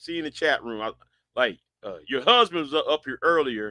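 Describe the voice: With big pitch swings, a man talks in a bright, sharp tone, the sound dry and close with no echo.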